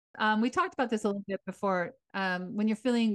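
In a dry, close sound with no echo, a woman with an ordinary speaking voice talks at a fairly quick pace with ordinary pitch variation. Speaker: retired teacher, podcast co-host. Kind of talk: casual chat.

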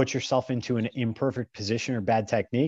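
Recorded dry and close with no echo against a quiet background, a man of medium pitch talks at a moderate pace with an American accent. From US Midwest, small-town northeast Ohio. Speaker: strength and grip coach. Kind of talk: casual interview chat.

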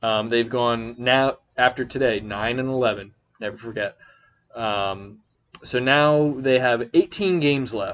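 The man's pitch is medium. He talks at a very slow pace. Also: ordinary pitch variation. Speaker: podcast host. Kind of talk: casual chat. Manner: halting.

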